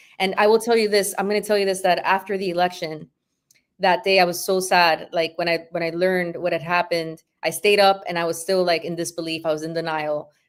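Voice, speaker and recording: The speaker is a woman with a fairly low pitch. She moves at a fairly quick pace with monotone, flat intonation. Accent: Spanish. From Honduras. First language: Spanish. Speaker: activist and former school board member. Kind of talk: casual interview chat.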